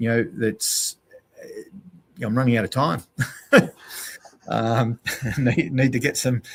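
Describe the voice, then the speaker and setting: A somewhat breathy man speaks with an Australian accent at a medium pitch. His pace is fairly slow, with long, frequent pauses, and the sound is dry and close with no echo. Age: 60s. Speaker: endurance cyclist and outdoor educator. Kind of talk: podcast interview. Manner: hesitant, many fillers.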